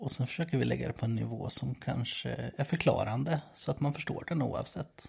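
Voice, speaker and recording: A man with vocal fry speaks at a moderate pace in a dark, mellow tone. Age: 30s. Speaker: priest, podcast co-host. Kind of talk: casual chat.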